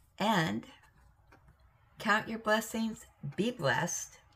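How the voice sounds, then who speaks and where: Very slow speech from a woman with an American accent, lively intonation and noticeable background noise. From US Pacific Northwest, Salem, Oregon. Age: old. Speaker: crafting video host. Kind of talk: casual chat. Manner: casual, rambling with fillers.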